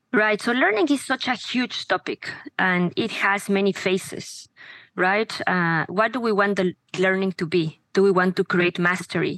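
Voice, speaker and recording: Recorded dry and close with no echo, a woman speaks with a Spanish accent. Her pitch is medium, her pace moderate, and her loudness very even. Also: ordinary pitch variation. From Mexico. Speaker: education startup founder. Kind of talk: interview conversation.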